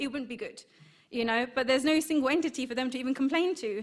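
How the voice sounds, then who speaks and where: In a British accent, a woman talks at a high pitch over a silent background in a very clean recording. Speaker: marketing executive, conference speaker. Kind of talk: conference talk. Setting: stage with audience. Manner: hesitant, many fillers.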